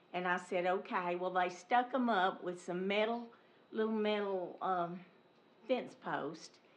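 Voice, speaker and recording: A woman speaks at a fairly slow pace in a medium pitch with ordinary pitch variation. The room has an audible echo. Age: 70s. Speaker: resident speaking at public comment. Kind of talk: public comment at council meeting. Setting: city council meeting.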